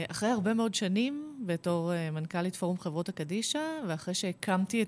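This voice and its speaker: Fairly slow and with lively intonation, a woman speaks at a medium pitch in an unremarkable speaking voice, captured in a very clean recording with a silent background. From Israel, Kfar Saba. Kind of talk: radio interview.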